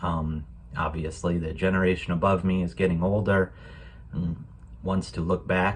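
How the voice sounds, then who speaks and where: With an American accent, a man speaks in a very deep, low pitch at a moderate pace, somewhat breathy, with ordinary pitch variation and long, frequent pauses. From United States. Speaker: program guest sharing a holiday story. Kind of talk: personal reflection. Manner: hesitant, many fillers.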